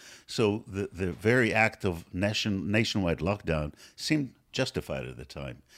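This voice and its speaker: With hardly any pauses, a man speaks at a fairly low pitch with vocal fry and very wide pitch swings. The recording is very clean, with a silent background. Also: moderate pace. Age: 60s. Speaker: medical professor. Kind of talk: interview.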